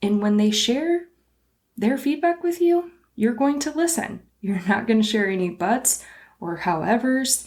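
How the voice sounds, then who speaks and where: A woman with a fairly high pitch talks at a fairly slow pace in an animated tone, her pitch swinging very widely. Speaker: small business podcast host. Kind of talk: solo podcast monologue. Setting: recording standing at a desk.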